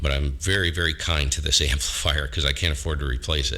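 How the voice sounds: At a fairly quick pace, a man speaks with extremely low pitch, a bright, sharp tone and fairly even intonation.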